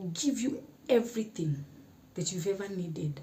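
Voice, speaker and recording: A somewhat breathy woman's voice at a medium pitch, with lively intonation. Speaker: YouTuber. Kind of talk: casual talk to camera.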